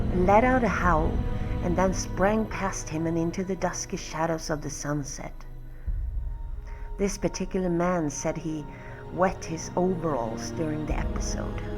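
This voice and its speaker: With music in the background, a woman speaks fairly slowly at a fairly low pitch, with ordinary pitch variation. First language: not English. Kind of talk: horror story reading.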